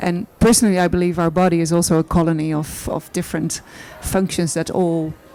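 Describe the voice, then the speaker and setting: Against noticeable background noise, a woman with a Dutch accent talks at a fairly quick pace and a fairly low pitch. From Netherlands. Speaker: artist. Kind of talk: panel discussion. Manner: halting.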